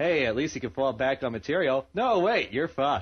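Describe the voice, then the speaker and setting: A medium-pitched man's voice with vocal fry and an American accent. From New Jersey. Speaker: amateur internet radio host. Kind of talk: casual chat. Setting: home studio, live internet radio.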